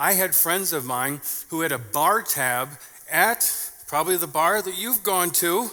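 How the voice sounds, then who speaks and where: A man with an Upper Midwest accent speaks at a fairly slow pace and a high pitch. His intonation is lively, and noticeable background noise can be heard. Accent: Upper Midwest American. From southern Minnesota, US Midwest. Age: 50s. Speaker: pastor. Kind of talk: sermon.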